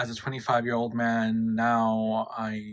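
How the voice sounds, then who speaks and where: A man in a New York accent speaks at a medium pitch with a bright, sharp tone. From New York, Queens. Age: 20s. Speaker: YouTuber. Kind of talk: casual chat.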